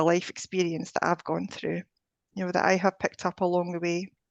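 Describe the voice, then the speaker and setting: A woman with a Scottish accent speaks at a medium pitch in a dry, close sound with no echo. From Scotland. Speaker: energy healer and life coach. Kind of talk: interview conversation.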